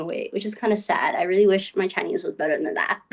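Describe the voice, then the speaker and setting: A woman speaks at a fairly quick pace. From Hong Kong. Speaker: university student. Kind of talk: casual chat. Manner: hesitant, many fillers.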